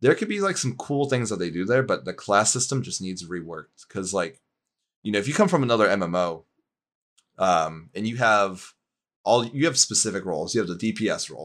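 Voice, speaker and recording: A man with a fairly low-pitched voice talks at a fairly quick pace with lively intonation. It is an ordinary speaking voice, on a very clean recording with a silent background. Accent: American. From US Northeast (Pittsburgh, Pennsylvania). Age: 20s. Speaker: gaming writer and streamer. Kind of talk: casual chat. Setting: live stream.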